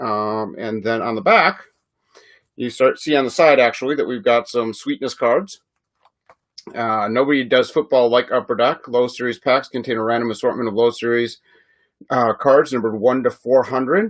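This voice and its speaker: In a Chicago accent, a man talks at a moderate pace with a medium pitch and ordinary pitch variation. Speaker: sports card breaker. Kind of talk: live stream card break. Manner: casual, filler-heavy.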